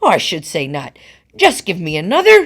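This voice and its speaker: A woman bellows loudly in a put-on character voice. Her pitch sits in the medium range. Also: very clean recording, silent background. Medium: read story. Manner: loud, bellowing.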